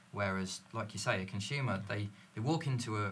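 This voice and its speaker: At a fairly quick pace, an ordinary speaking voice carries on. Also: man. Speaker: sales manager. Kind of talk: casual panel chat.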